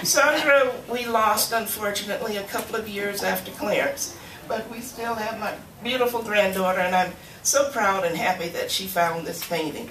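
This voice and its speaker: A woman with a fairly high pitch at a moderate pace with ordinary pitch variation, amid audible room echo and noticeable background noise. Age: 70s. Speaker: artist's widow. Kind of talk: emotional speech at dedication. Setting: library event with audience.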